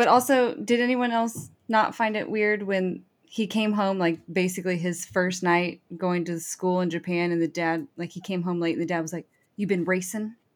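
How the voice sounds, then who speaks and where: At a moderate pace, a woman talks in a plain, everyday voice with ordinary pitch variation. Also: medium pitch for a woman. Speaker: podcast panelist. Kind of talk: casual chat.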